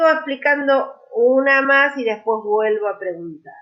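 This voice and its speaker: Here a woman speaks with an Argentine accent. Her pitch is high. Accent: Rioplatense Argentine Spanish. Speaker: language teacher. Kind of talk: online lecture.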